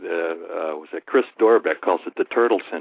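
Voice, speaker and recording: This is a man speaking. His pace is moderate. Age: 50s. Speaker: retired federal employee. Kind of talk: podcast interview.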